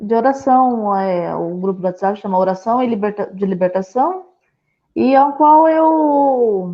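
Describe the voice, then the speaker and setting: Her intonation lively, a woman speaks at a fairly slow pace with an interior São Paulo accent. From interior of São Paulo state, Brazil. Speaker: pastor. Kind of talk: casual interview. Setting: online live stream. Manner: halting.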